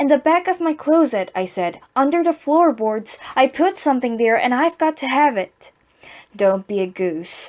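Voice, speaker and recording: At a moderate pace, a woman speaks at a high pitch with very wide pitch swings. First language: Korean. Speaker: amateur reader practicing English reading aloud. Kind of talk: reading aloud. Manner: halting, stumbling and repeating words.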